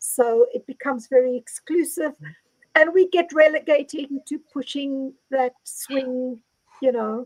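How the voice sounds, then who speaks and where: The delivery is very slow, with ordinary pitch variation and a dry, close sound that has no echo. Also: woman. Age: 60s. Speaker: panel host. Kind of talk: panel discussion. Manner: halting.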